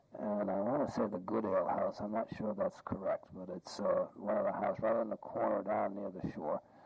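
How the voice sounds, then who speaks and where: A man with an American accent at a fairly quick pace, hardly any pauses, and noticeable background noise. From Massachusetts, Boston area. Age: 60s. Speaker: interviewee recalling family memories. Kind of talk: oral history interview. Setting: at home. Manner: halting, many fillers.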